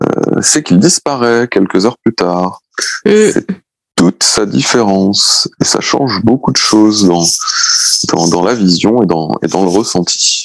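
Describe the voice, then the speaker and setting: In a dry, close recording with no echo, a man with a fairly low pitch speaks at a fairly slow pace, with ordinary pitch variation, very even loudness, and long, frequent pauses. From Brittany, France. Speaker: beach artist. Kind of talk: interview. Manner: hesitant, many repetitions.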